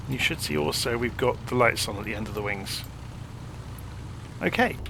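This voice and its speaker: A man with a British accent talks at a fairly quick pace, his medium-pitched voice carrying lively intonation. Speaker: flight simulator content creator. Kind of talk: casual tutorial walkthrough.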